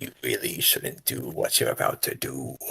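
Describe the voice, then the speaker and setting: A man uses a put-on character voice. It comes out raspy. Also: moderate pace. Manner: menacing, ominous.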